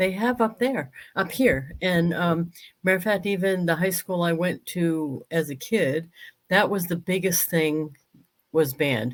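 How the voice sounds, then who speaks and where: A woman with an American accent and fairly low pitch, an unremarkable speaking voice, talks at a fairly slow pace with ordinary pitch variation and very even loudness in a very clean recording with a silent background. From New England, Western Massachusetts. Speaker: talk show host. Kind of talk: casual chat.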